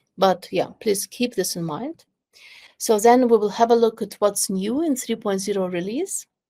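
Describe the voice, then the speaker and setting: This woman talks at a moderate pace with a fairly high pitch. Her tone is dark and mellow, and the background is quiet. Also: ordinary pitch variation. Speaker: product owner presenting software; webinar presenter. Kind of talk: webinar presentation. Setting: video call webinar. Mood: warm, friendly.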